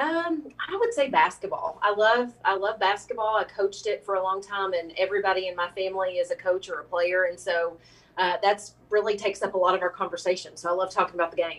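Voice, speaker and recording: A woman of medium pitch with an American accent talks at a very fast pace with ordinary pitch variation. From Kentucky, Mercer County. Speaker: state politician, former teacher. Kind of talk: interview.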